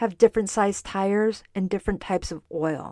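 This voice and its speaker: A woman at a moderate pace, in a dry, close sound with no echo and a very clean recording over a silent background. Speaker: podcast host, dietitian. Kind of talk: solo podcast, educational talk.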